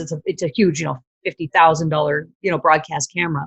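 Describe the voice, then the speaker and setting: The woman's voice is somewhat breathy. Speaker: former TV broadcaster and video marketer. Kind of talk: interview.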